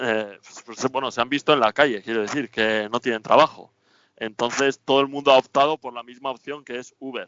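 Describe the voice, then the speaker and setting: In an ordinary speaking voice, a man with a medium pitch and fairly even intonation talks at a fairly quick pace. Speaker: temporary resident in Australia. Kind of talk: radio interview.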